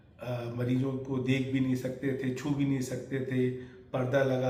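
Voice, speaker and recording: Through audible room echo and noticeable background noise, a man's medium-pitched voice stays monotone, with flat intonation. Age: 70s. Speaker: retiring doctor. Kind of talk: interview.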